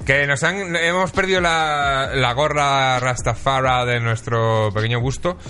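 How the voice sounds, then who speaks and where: Noticeable background noise under a man's lively intonation. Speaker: podcast host. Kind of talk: casual chat.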